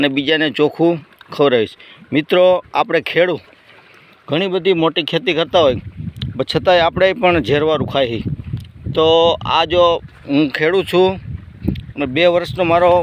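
A normal speaking voice, a man's, fairly high-pitched and with ordinary pitch variation. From Gujarat, Saurashtra (Rajkot district). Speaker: farmer. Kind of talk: casual vlog and sales pitch.

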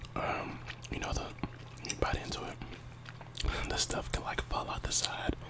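Loud background noise fills the recording as a man talks fairly quickly. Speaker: mukbang creator. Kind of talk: casual vlog chat while eating. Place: home room. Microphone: earbuds.

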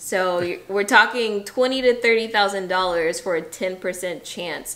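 At a fairly slow pace, a woman speaks. Her pitch variation is ordinary. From US South, Atlanta; US South. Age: 30s. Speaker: teacher, vlogger. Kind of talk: casual chat; casual vlog chat. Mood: serious, emotional. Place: home room. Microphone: camera far.

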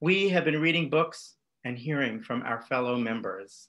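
A man with a fairly bright tone talks at a fairly slow pace, his intonation lively.

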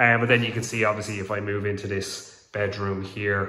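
Fairly low-pitched man at a fairly quick pace, audible room echo. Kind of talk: casual vlog walkthrough. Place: home room. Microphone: phone near.

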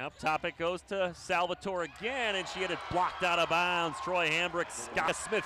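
Amid noticeable background noise, a man with a high pitch talks in an energetic tone with hardly any pauses. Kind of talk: live play-by-play sports commentary over game highlights. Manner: clipped, energetic, stumbles and restarts mid-call as the action moves.

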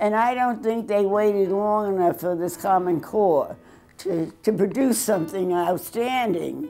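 Faint music plays behind a woman who speaks at a fairly slow pace with lively intonation. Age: 80s+. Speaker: math teacher. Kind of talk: interview. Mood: firm, mildly critical. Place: studio.

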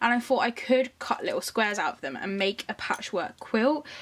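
A woman at a medium pitch, with a fairly bright tone, lively intonation and a moderate pace

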